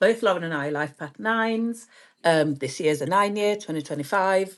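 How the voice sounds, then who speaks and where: A woman with a British accent speaks at a moderate pace in a fairly low pitch, her intonation lively against a quiet background. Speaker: astrologer and podcast host. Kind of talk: casual chat.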